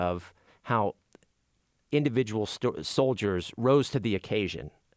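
In a plain, everyday voice, a man speaks at a fairly low pitch and moderate pace with ordinary pitch variation, on a very clean recording with a silent background and a dry, close sound with no echo. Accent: American. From western Pennsylvania, Beaver County. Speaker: radio journalist. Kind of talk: interview.

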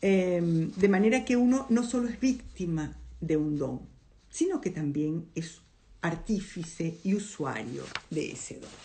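In a room with audible echo, a woman speaks fairly slowly at a fairly low pitch, her dark, mellow, somewhat breathy voice making very wide pitch swings and big shifts in loudness. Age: old. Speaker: podcast host, film commentator. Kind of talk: casual monologue, film analysis. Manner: animated.

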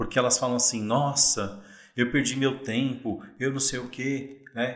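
Audible room echo surrounds a man speaking at a medium pitch and a fairly slow pace. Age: 40s. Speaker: investor and insurance professional. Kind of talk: casual interview chat.

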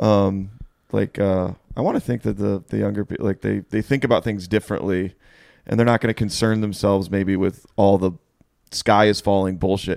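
A man's fairly low, plain, everyday voice at a moderate pace and with fairly even intonation, dry and close with no echo, very clean against a silent background. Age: 30s. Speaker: comedy podcast host. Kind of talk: casual chat. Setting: home living room.

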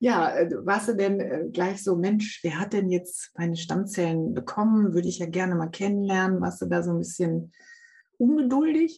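This woman has a dark, mellow, somewhat breathy tone, speaking at a moderate pace with medium pitch and ordinary pitch variation. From Germany, Münsterland. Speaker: podcast host, stem cell recipient. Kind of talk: casual interview. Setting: video call.

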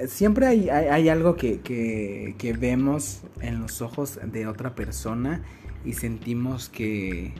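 A man at a very slow pace, with audible room echo and music in the background. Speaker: podcast host. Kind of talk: casual chat. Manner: halting.

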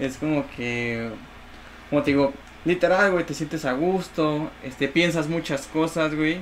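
Noticeable background noise behind a man's fairly high, fairly slow speech with ordinary pitch variation. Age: 20s. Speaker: dancer. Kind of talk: casual chat.

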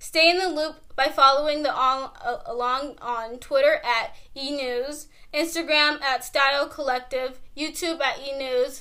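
Her high-pitched voice is raised and projected, with a bright, sharp tone. She keeps a moderate pace and fairly even intonation. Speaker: co-host. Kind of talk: casual chat.

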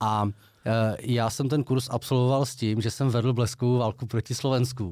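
A man with an ordinary speaking voice talks at a medium pitch and moderate pace. His intonation is fairly even, and the recording is very clean with a silent background. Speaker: podcast co-host. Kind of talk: casual chat.

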